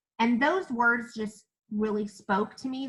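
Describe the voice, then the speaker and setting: A woman with a Kentucky accent, speaking at a fairly slow pace. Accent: US Southern (Kentucky). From Kentucky (Owensboro). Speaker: network marketing presenter. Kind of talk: live webinar presentation. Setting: Zoom and Facebook live stream. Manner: animated.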